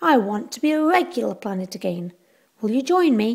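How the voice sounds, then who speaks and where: Using a put-on character voice, a woman talks at a fairly quick pace with fairly high pitch. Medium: read story.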